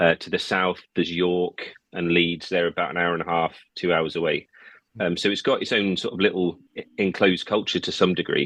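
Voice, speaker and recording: A man with an English accent talks at a fairly quick pace in a very deep, low pitch. His intonation is monotone and flat, and the background is quiet. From England, Peterborough area (middle England). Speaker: musician. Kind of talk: podcast interview.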